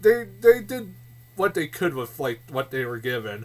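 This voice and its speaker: Pitch swings very widely as a man talks at a fairly slow pace. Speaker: movie reviewer. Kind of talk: casual vlog review. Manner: loud; halting, many fillers and repeats.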